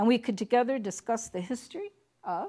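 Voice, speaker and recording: The recording is very clean, with a silent background. A woman talks with lively intonation. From Chicago, US Midwest. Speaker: university diversity director. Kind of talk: lecture.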